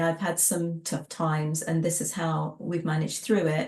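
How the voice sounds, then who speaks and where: A woman with an American accent at a moderate pace, amid noticeable background noise. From England. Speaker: tea business trainer and former tea room owner. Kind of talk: interview. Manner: conversational, with frequent fillers and restarts.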